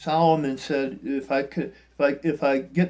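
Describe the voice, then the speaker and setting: This man's pitch is fairly high, and it varies in an ordinary way. The background is silent on a very clean recording. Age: 60s. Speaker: spiritual vlogger. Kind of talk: reflective monologue. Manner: halting.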